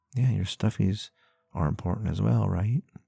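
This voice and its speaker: A man speaks at a fairly slow pace in a gentle tone with lively intonation. Music plays in the background, and the sound is dry and close with no echo. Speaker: ASMR roleplay creator. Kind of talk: ASMR comfort roleplay. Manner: gentle, soft-spoken, reassuring.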